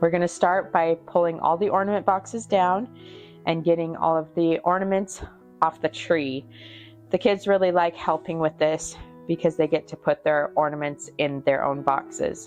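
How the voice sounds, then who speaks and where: A woman speaks at a fairly low pitch and moderate pace with ordinary pitch variation. Music plays in the background. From Oregon. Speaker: mother of a large family. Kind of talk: casual voiceover narration of home video.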